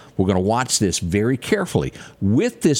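A man in a Southern US accent talks at a medium pitch and a moderate pace. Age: 50s. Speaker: radio/TV morning show host. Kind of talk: news and weather show chat.

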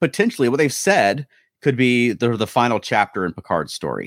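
A man talks at a fairly quick pace in a medium pitch, with a plain, everyday voice. The recording is very clean with a silent background and a dry, close sound with no echo. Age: 40s. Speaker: podcast host. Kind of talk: casual chat. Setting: live stream.

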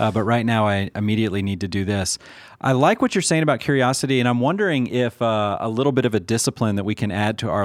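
With a plain, everyday voice, a man at medium pitch shows ordinary pitch variation on a very clean recording with a silent background. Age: 40s. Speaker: podcast host. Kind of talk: casual chat.

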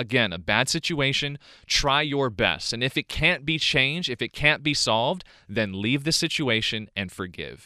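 An animated man at medium pitch, bright and sharp in tone, with vocal fry and very wide pitch swings. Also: very clean recording, silent background. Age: 20s. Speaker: podcast host. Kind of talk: solo monologue.

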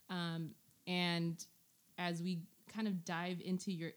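A woman talks in an American accent. Her pitch sits fairly low for a woman. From US, Indonesian family. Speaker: podcast host. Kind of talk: casual chat.

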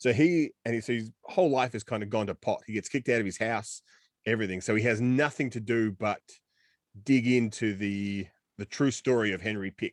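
Speaking with an Australian accent, a man of medium pitch moves at a fairly quick pace with ordinary pitch variation. The sound is dry and close with no echo, over a quiet background. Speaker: film podcast co-host. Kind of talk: casual chat. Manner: animated.

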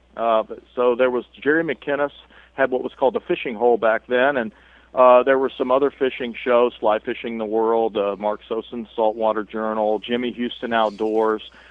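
A man speaks at a medium pitch with an American accent. His pace is moderate and his intonation fairly even. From US Midwest, Columbus, Ohio. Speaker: bowhunter and TV show host. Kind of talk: interview. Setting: phone call.

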